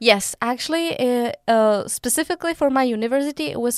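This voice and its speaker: A woman with a Czech accent speaks at a high pitch and a fairly quick pace, with ordinary pitch variation. The recording is very clean with a silent background and a dry, close sound with no echo. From Czech Republic. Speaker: university student. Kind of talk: interview.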